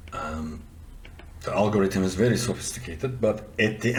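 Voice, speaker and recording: There is audible room echo around a man with a non-native accent. He speaks at a moderate pace. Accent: noticeable foreign. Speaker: software developer and audio tutorial presenter. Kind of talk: tutorial. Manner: casual, conversational with fillers.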